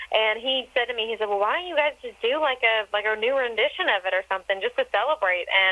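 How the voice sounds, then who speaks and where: Very fast and animated, a woman speaks at a fairly high pitch with lively intonation. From Texas. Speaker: country singer. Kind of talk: interview.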